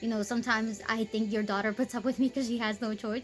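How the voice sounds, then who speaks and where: A squeaky, fairly high-pitched woman's voice with an American accent at a very fast pace, with music in the background. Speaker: faith vlogger. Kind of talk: casual testimony. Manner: hesitant, many fillers.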